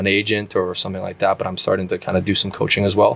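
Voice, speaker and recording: A man with a Canadian accent talks at a very fast pace in a fairly low voice. Noticeable background noise can be heard. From Canada, Brampton Ontario. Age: 30s. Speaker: professional soccer player. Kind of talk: interview. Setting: studio. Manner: many fillers and repetitions.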